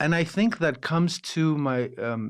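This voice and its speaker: Against a quiet background, a man with a Los Angeles accent speaks with ordinary pitch variation. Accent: American English, Los Angeles. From Los Angeles, Armenian-American household. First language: Armenian. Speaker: opera singer, actor and director. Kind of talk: interview conversation. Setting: podcast. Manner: halting, many false starts and fillers.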